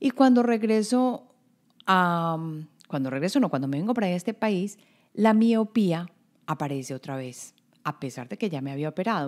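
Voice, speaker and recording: The voice moves at a moderate pace with very wide pitch swings in a very clean recording with a silent background. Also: woman. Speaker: podcast host, intuition coach. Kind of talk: motivational podcast monologue.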